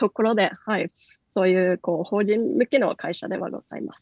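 A woman's voice with a Norwegian accent and fairly even intonation. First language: Norwegian (speaking Japanese). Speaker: company country manager. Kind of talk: radio interview. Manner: many fillers.

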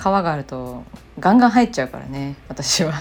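The woman's pitch moves through very wide swings. She keeps a moderate pace. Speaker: illustrator and podcast host. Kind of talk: casual solo radio-style talk. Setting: home living room, remote recording. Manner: calm, gentle.

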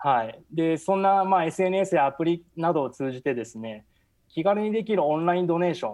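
A man's high voice with lively intonation, big swings in loudness and a moderate pace. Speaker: architecture producer, foreign correspondent. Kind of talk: radio interview.

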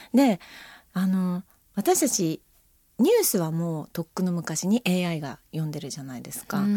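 A woman's fairly low, dark, mellow voice at a moderate pace, with lively intonation and big swings in loudness, on a very clean recording with a silent background and a dry, close sound with no echo. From Japan, rural Akita. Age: 50s. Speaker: freelance announcer. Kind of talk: casual chat. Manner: refined, upper-class way of speaking.

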